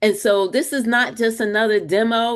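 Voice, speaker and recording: A woman's fairly high voice, animated in tone, with ordinary pitch variation over a quiet background. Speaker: webinar host and marketing coach. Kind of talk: webinar presentation. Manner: loud.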